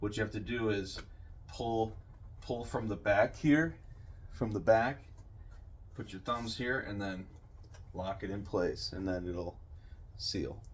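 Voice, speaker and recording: Somewhat breathy and fairly low-pitched, a man speaks at a fairly slow pace with ordinary pitch variation and long, frequent pauses. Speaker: custom prop maker. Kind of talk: product demo video for a customer. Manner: hesitant, many fillers.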